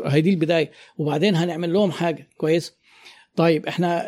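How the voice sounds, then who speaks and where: At a moderate speed, a man talks in a dark, mellow tone. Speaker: business consultant and marketing trainer. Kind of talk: interview conversation.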